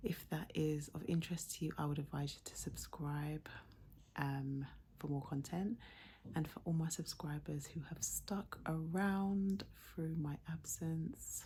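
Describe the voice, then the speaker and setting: Soft-spoken and somewhat breathy, a woman talks at a fairly slow pace in an English accent. Her very deep, low voice has a dark, mellow tone and ordinary pitch variation. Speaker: YouTuber. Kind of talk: casual vlog chat. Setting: at home at night.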